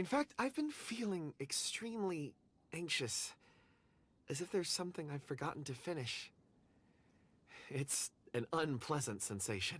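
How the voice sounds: Using a put-on character voice, a man speaks at a fairly slow pace with long, frequent pauses, a fairly high pitch with big swings, a fairly bright tone and a slightly husky edge.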